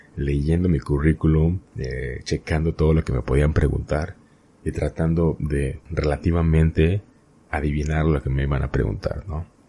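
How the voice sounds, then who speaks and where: A man with a central Mexican accent speaks at a moderate pace in a very deep, low voice with fairly even intonation. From Mexico, Hidalgo. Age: 20s. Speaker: podcast host. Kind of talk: solo podcast monologue, personal storytelling. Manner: hesitant with fillers and repetitions.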